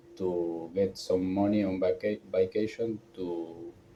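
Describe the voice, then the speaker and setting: A somewhat breathy voice with a dark, mellow tone speaks in a strong non-native accent. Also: man. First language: not English. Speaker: vlogger. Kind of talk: personal vlog monologue. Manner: halting, hesitant.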